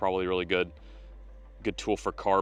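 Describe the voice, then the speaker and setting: Speaking at a fairly quick pace, a man uses a very deep, low voice with vocal fry over a quiet background. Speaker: fishing video host. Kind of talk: casual outdoor product-testing vlog. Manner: animated.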